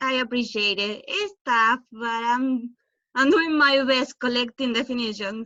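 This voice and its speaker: A woman's high, bright and sharp voice with a Spanish accent, raised and projected, at a very slow pace with ordinary pitch variation over a quiet background. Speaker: student. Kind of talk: online class Q&A.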